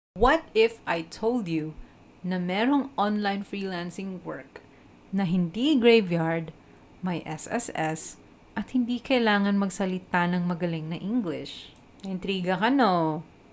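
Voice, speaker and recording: A woman with a Filipino accent speaks at a medium pitch and a fairly slow pace. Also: ordinary pitch variation. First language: Tagalog. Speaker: podcast host and online freelancer. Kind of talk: scripted-style solo podcast, casual Taglish. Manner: animated, enthusiastic.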